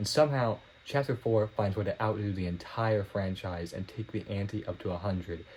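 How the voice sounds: A man speaks at a fairly slow pace, his pitch low and its variation ordinary. His tone is slightly mellow and nasal.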